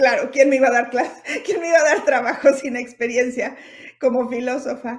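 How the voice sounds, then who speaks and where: At a fairly quick pace, a woman talks in a high pitch with fairly even intonation. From Mexico (Puebla, Hermosillo, Mexico City). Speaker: fashion stylist and image consultant. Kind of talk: interview.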